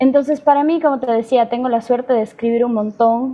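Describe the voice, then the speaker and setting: A woman speaks with fairly even intonation. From Ecuador. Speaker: singer-songwriter. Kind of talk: interview.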